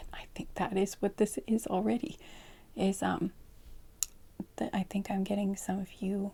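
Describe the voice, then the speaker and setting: A soft-spoken woman's medium-pitched, somewhat breathy voice with a dark, mellow tone, fairly even intonation, a moderate pace and long, frequent pauses. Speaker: tarot card reader. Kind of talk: pick-a-card tarot reading for sleep.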